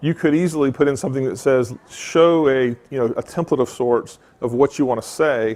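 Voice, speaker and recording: With a Southern US accent, a man talks in fairly even intonation. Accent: Southern US drawl. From US South, Mississippi. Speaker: tech conference speaker. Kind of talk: conference talk with demo.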